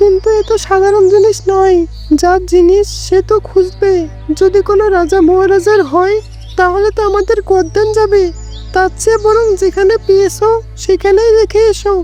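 A cartoonish character voice delivered at a moderate pace with very even loudness. Clear music plays in the background. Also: woman, extremely high pitch for a woman.

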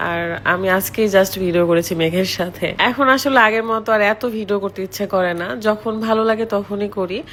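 A woman's medium-pitched voice competes with noticeable background noise. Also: ordinary pitch variation. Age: 20s. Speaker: vlogger. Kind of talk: vlog with product promotion.

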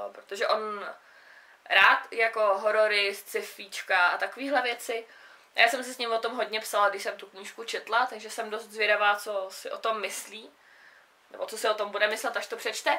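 A woman's fairly high, bright, sharp voice with fairly even intonation and big swings in loudness. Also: moderate pace. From South Bohemia, Czechia. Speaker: book vlogger. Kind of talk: casual book review monologue. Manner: casual, hesitant with fillers. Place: home room. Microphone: camera far.

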